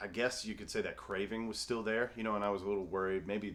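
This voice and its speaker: This is a man's voice. He speaks with a Mississippi accent. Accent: Southern US (Mississippi). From US South. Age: 30s. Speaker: recovering alcoholic interviewee. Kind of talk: interview. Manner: halting, many fillers.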